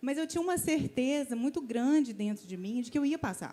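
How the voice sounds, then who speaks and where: Fairly quick and lively in intonation, a woman's high voice carries a dark, mellow tone. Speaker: church member asking a question. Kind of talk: testimony. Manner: halting.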